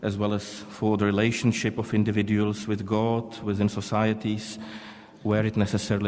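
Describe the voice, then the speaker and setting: A man talks at a moderate pace with a fairly low pitch and monotone, flat intonation, and audible room echo surrounds his voice. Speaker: panel chair, diplomat. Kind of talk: conference panel moderation. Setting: conference hall. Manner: formal.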